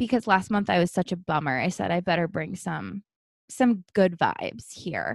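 Over a quiet background, a woman in a plain, everyday voice speaks at medium pitch with lively intonation, the sound dry and close with no echo. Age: 30s. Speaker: podcast co-host. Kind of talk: casual chat.

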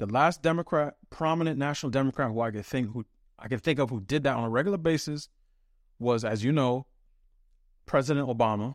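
Fairly quick and medium in pitch, a man's ordinary speaking voice shows ordinary pitch variation, with a dry, close sound with no echo on a very clean recording with a silent background. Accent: American. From New York City. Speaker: think tank research fellow and writer. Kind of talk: serious interview conversation.

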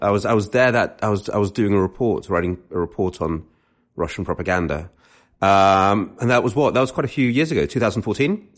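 Over a quiet background, a man with a British accent talks at a very fast pace in a fairly low pitch, with lively intonation and very even loudness. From London, England. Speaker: author and essayist. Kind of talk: casual chat.

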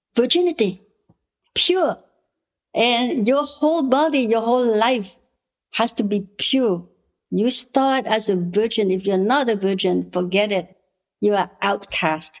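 A woman in a Cambodian accent, fairly high pitch and lively intonation, very even loudness, a fairly slow pace and long, frequent pauses. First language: Khmer. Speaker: politician and women's rights activist. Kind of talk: interview. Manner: gentle.

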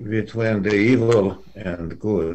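A man speaks with a Russian accent. His pitch is fairly low, with ordinary variation. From Russia (Soviet Union). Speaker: economics professor. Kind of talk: interview. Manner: halting.

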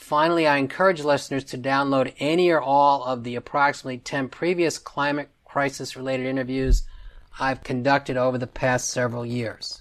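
Talking at a fairly quick pace, a man uses a plain, everyday voice with a medium pitch and fairly even intonation. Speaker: podcast host. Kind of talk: interview.

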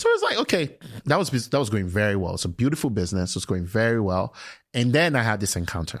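A man with a medium-pitched voice talks at a very fast pace with lively intonation, on a very clean recording with a silent background. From Nigeria (Lagos). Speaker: tech entrepreneur. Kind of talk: interview.

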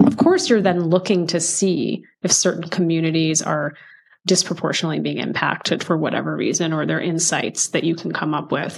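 Vocal fry marks this woman's fairly low voice. She talks at a fairly quick pace with fairly even intonation. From United States, child of Indian immigrants. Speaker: DEI executive and author. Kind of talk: interview conversation.

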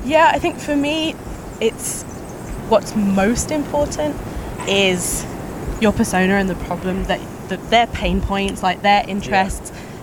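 A woman in a British accent, medium pitch with very wide swings, fairly slow with long, frequent pauses, over noticeable background noise. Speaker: content marketing manager. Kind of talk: casual conversation interview. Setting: outdoors walking.

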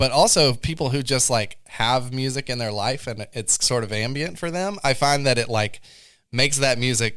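A man talks at a moderate pace with ordinary pitch variation. He has a plain, everyday voice. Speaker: podcast host. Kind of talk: interview conversation.

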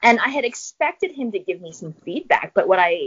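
Her pitch is fairly high and swings very widely. The woman talks at a moderate pace. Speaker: professor and researcher. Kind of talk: interview, explanatory talk. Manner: conversational, hedging with fillers.

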